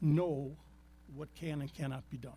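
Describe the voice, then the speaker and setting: A man with a dark, mellow tone and a fairly high pitch speaks somewhat breathily at a fairly slow pace, using ordinary pitch variation. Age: 80s+. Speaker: property owner applicant. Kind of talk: public meeting testimony. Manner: halting.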